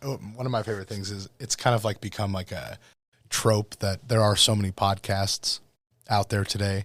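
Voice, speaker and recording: A man with a Midwestern American accent, a fairly low pitch and fairly even intonation, on a very clean recording with a silent background. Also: moderate pace. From US Midwest (northwest Iowa). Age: 30s. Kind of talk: casual chat.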